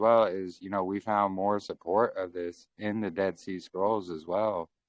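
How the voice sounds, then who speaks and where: With an American accent, a man speaks in an unremarkable speaking voice at a fairly low pitch, with fairly even intonation and a moderate pace. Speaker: faith channel host. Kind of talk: casual chat.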